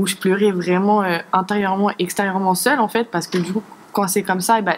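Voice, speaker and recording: Her loudness very even, a woman speaks at a fairly quick pace in a monotone, flat intonation at medium pitch. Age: 20s. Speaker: church youth volunteer. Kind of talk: testimony. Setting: studio. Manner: halting.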